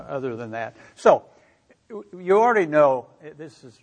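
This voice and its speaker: Speaking with a Midwestern American accent, a man has a fairly high pitch. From US Midwest, Missouri. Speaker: energy researcher. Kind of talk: lecture. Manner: halting.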